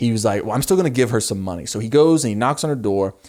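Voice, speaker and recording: Against a very clean recording with a silent background, a man speaks in an ordinary speaking voice at medium pitch. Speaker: YouTuber reacting to a TV show. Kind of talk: casual commentary to camera.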